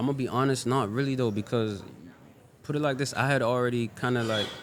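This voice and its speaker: In a room with audible echo, a man talks at a very fast pace with medium pitch, fairly even intonation and very even loudness. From Sierra Leone, West Africa. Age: 20s. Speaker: Afrobeats artist. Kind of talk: casual interview. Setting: restaurant.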